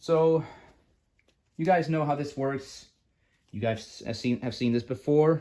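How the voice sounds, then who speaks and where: Mumbling at a fairly slow pace, a man with a fairly high pitch and a dark, mellow tone leaves long, frequent pauses. His pitch variation is ordinary. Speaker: card game youtuber. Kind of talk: deck profile tutorial. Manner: halting, many fillers.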